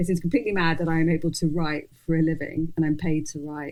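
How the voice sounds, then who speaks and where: Speaking at a very fast pace, a woman uses a fairly low pitch. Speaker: journalist and fashion editor. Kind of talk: interview conversation. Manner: mumbling; halting.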